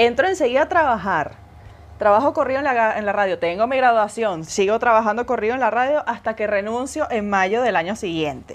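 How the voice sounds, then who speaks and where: A woman with a Venezuelan accent talks at a very fast pace in an animated tone. Her pitch swings very widely. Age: 20s. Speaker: podcast co-host. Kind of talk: casual chat.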